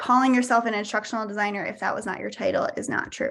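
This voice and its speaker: On a very clean recording with a silent background, a woman speaks at a very fast pace and fairly high pitch, with vocal fry and fairly even intonation. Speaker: career coach. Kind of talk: workshop presentation.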